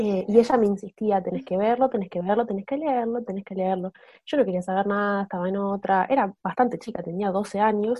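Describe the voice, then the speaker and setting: A woman at medium pitch, with ordinary pitch variation, uses an ordinary speaking voice. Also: fairly quick pace. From Argentina, Buenos Aires. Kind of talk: casual chat.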